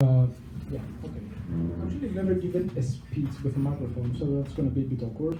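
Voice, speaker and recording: Audible room echo surrounds a speaker with a Greek accent. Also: man. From Greece, Thessaloniki. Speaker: PhD researcher. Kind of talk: public talk. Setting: pub venue with audience, microphone.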